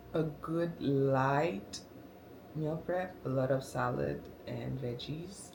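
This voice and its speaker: A woman with a very deep, low voice and ordinary pitch variation speaks at a very slow pace, with audible room echo and noticeable background noise. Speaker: lifestyle vlogger. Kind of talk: casual vlog talk to camera. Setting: at home. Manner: halting, many fillers.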